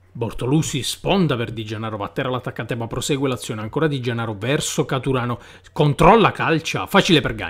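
With a fairly quick delivery, a man talks in a somewhat breathy voice. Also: medium pitch for a man. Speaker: football commentator. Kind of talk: live sports commentary. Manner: fast, breathless, excitable; rising, exclamatory delivery on chances and goal.

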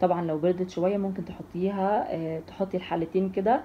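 Light background noise sits under the recording. A woman speaks with fairly even intonation. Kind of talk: tutorial. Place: kitchen. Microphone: phone near.

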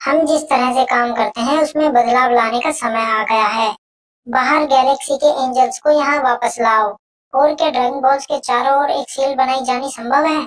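A cartoonish character voice, female-sounding, high-pitched for a woman, at a moderate pace. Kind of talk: anime fan dub. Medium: fan dub. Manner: formal, stern, authoritative.

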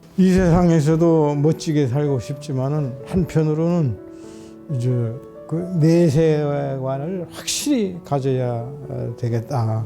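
Over music in the background, a man with a fairly high pitch and ordinary pitch variation speaks at a very slow pace. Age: 80s+. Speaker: retired pastor. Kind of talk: interview answer.

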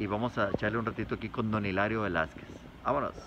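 Noticeable background noise sits behind a man talking very fast. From northern Mexico, Sabinas area; northern Mexico. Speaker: YouTube vlogger. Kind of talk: casual field interview; vlog direct-to-camera address. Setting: outdoors outside a house. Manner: animated. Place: street. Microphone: phone near.

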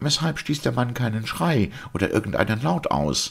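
Using a put-on character voice, a man speaks at a medium pitch and moderate pace with a fairly bright tone, a slightly husky edge, vocal fry and big pitch swings, on a very clean recording with a silent background.

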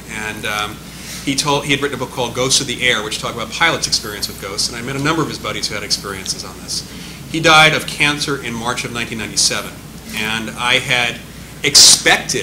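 A man talks rather briskly with normal pitch movement while background noise is clearly heard. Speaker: speaker. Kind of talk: panel answer, anecdote. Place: meeting room. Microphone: podium.

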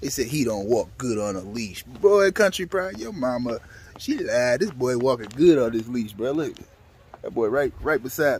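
A man's voice with very wide pitch swings, over light background noise. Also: moderate pace, dry sound with no echo. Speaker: dog breeder vlogger. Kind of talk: casual vlog chat.

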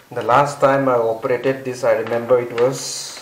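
Someone speaks at a very slow pace over noticeable background noise. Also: man. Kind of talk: casual vlog chat. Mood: nostalgic, relaxed. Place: home room. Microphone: phone near.

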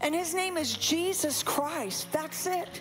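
A woman's extremely high-pitched voice in an energetic tone at a fairly slow pace, with clear music in the background. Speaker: pastor, preacher. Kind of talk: sermon, preaching to a congregation. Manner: energetic, emphatic, interactive with the audience. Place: church. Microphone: handheld.

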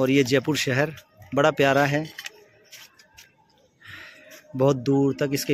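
A man speaks at a very slow pace over music in the background, the sound dry with no echo. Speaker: vlogger filming his family dinner. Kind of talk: casual vlog chat. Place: cafe. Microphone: phone near.

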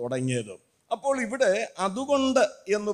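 Very wide pitch swings against a quiet background. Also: man. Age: 70s. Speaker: evangelist preacher; preacher. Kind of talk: sermon. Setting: church. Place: church. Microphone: podium.

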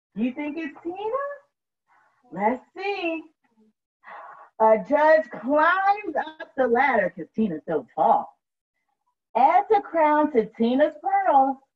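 Speaking slowly in a high voice, a woman makes big pitch swings and leaves long, frequent pauses.

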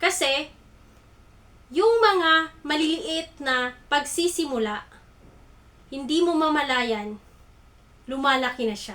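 A woman's high, raised and projected voice with lively intonation, a very slow pace and long, frequent pauses. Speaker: online talk host. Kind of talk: motivational livestream talk. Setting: live stream.

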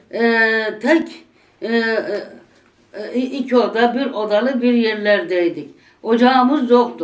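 A woman with a fairly high pitch and ordinary pitch variation speaks at a very slow pace. Her pauses are long and frequent. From Gümüşhane, northeastern Turkey. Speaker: former domestic worker. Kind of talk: oral history interview answer.

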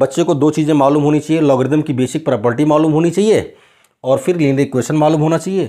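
A man talks with a dark, mellow tone and fairly even intonation. His loudness stays very even over a quiet background. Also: moderate pace. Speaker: maths teacher. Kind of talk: lecture. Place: classroom. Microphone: lapel.

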